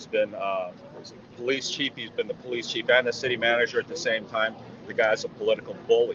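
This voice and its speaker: Noticeable background noise sits behind a man with an American accent. He talks at a fairly quick pace. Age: 60s. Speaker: resident speaking at a rally. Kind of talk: impromptu interview at a rally. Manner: animated; halting, many fillers.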